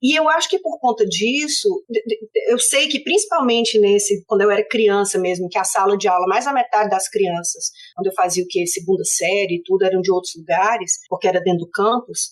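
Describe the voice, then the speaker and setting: The speaker has a Fortaleza accent, talks at a fairly quick pace, and keeps a very even loudness. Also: woman, medium pitch for a woman. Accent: Northeastern Brazilian (Fortaleza). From Brazil, Fortaleza (Northeast). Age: 50s. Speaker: political science professor. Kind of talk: interview conversation.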